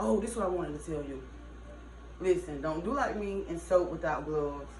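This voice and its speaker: There is audible echo in the room and noticeable noise behind the speaker. A woman talks with an American accent. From US South, Georgia. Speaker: soap maker and family vlogger. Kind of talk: casual tutorial vlog. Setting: at home. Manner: casual, chatty.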